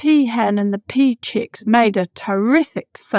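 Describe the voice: Plain reading aloud plays out over a quiet background.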